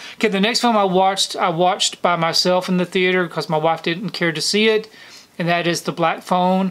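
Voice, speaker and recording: A man's high-pitched voice, fairly quick in pace, with fairly even intonation. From US South, Georgia. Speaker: YouTuber, film collector; movie collector reviewer. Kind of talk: casual monthly film recap to camera; casual vlog chat. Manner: casual, frequent fillers (um). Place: home room.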